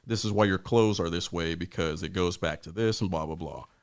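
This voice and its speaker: In a very clean recording with a silent background, a man with an American accent speaks in a very deep, low pitch with ordinary pitch variation. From Ohio, US (Warren, near Youngstown). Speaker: podcast co-host, soldier. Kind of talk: casual chat. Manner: fast.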